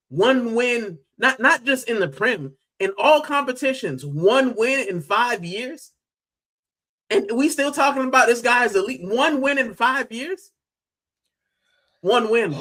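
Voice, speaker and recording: Raised and projected, a man's extremely high, bright, sharp voice carries an American accent and lively intonation at a fairly slow pace, with long, frequent pauses. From US, Miami. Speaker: football fan streamer. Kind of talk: live stream fan debate. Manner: loud; animated.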